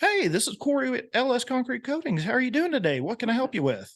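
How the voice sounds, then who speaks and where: A man speaks at a very fast pace in a put-on character voice with extremely high pitch. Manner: friendly, upbeat.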